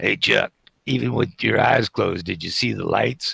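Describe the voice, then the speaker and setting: A man does a put-on character voice, raspy and fairly low in pitch, captured with a dry, close sound with no echo. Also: moderate pace. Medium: actual play. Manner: mocking, wisecracking.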